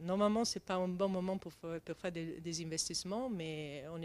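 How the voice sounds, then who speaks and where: With an Italian accent, a woman speaks at a moderate pace with ordinary pitch variation. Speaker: tech company CEO. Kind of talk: interview. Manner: halting, many hesitations.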